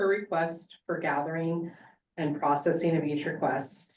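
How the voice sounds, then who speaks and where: A woman with a plain, everyday voice and a fairly low pitch talks at a moderate pace. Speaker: public records officer. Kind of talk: report at board meeting.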